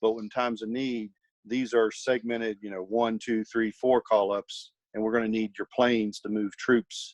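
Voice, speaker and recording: Speaking with a slight Virginia accent, a man holds a medium pitch and a moderate pace. His intonation is monotone and flat, and the sound is dry and close with no echo. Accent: slight Virginia twang. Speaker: military college professor. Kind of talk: podcast interview. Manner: halting.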